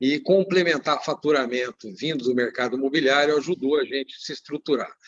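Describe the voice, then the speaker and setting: Using an ordinary speaking voice, a man talks at a fairly quick pace with fairly even intonation. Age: 60s. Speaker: business owner. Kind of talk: panel talk in a livestream. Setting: online livestream.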